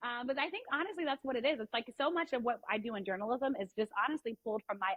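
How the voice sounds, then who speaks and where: Speaking with an American accent at a very fast pace, a woman sounds animated in tone. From US, DC area. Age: 30s. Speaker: sports reporter. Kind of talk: podcast interview.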